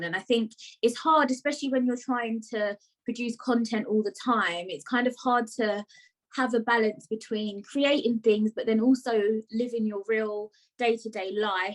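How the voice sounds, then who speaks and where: Fairly high in pitch, a woman speaks with a British accent. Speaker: podcast host. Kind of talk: casual interview chat.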